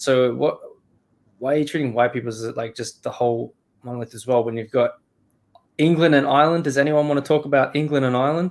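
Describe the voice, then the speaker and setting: A man with an Australian accent and a fairly high voice, talking very fast with big swings in loudness and long, frequent pauses. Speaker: streamer and podcast host. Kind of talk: casual chat. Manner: animated.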